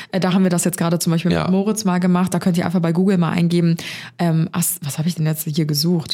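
A woman talks at a very fast pace with very even loudness and monotone, flat intonation. Her fairly low-pitched voice has a dark, mellow tone and sounds somewhat breathy. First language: not English; speaks German natively (speaking German). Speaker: podcast co-host. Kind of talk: casual chat.

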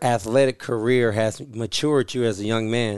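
Over a quiet background, a man with an unremarkable speaking voice and a medium pitch talks at a fairly slow pace with fairly even intonation. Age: 30s. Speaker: sports podcast co-host. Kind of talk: interview; casual chat. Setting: hotel room.

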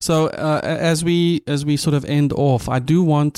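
Speaking fairly slowly with a dark, mellow tone, a man with a South African accent is heard in a dry, close sound with no echo on a very clean recording over a silent background. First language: Afrikaans. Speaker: podcast host. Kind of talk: interview conversation; scripted intro and outro.

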